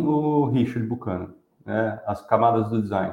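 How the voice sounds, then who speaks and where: This man has a plain, everyday voice at medium pitch, with lively intonation. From São Paulo, Brazil. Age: 40s. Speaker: design and innovation professional. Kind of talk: casual interview on a live stream.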